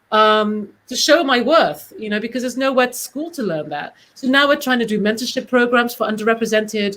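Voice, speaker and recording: A woman speaks with a British accent at a fairly quick pace. Her voice sits fairly high. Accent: British, proper. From Britain. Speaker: casting director. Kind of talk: panel discussion.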